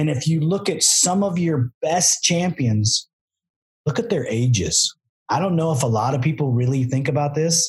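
Very even loudness, lively intonation and a moderate pace in an ordinary speaking voice. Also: man, fairly high pitch for a man. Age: 50s. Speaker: podcast host and ATV builder. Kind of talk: casual chat.

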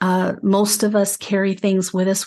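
With a Mid-Atlantic accent, a woman speaks at a medium pitch and a moderate pace over a quiet background. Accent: American, Mid-Atlantic. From US, Maryland (Frederick). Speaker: spiritual podcast host, angel communicator. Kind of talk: spiritual teaching talk.

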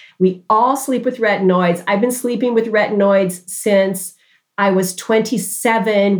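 Fairly even intonation in a normal speaking voice. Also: woman. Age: 60s. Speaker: dermatologist. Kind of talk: interview.

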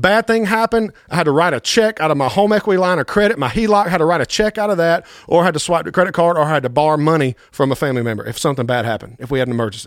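With hardly any pauses, a man talks at a very fast pace in a high pitch, using lively intonation and an enthusiastic tone. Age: 30s. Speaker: podcast host, pastor and financial coach. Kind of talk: motivational podcast monologue. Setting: studio.

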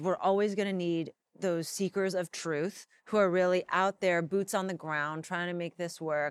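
A woman's fairly low voice with an American accent, monotone and flat, at a moderate pace, in a dry, close sound with no echo. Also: very clean recording, silent background. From Los Angeles, US. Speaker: tv host and writer. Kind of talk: interview conversation. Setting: in person, Los Angeles.

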